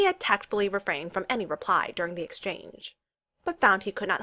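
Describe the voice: Over a quiet background, someone reads aloud plainly.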